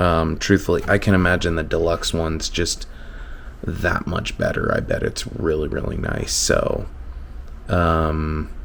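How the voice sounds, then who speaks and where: Over noticeable background noise and audible room echo, a man talks at a very slow pace with fairly even intonation. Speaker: RC crawler hobbyist YouTuber. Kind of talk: casual DIY tutorial. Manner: hesitant with fillers.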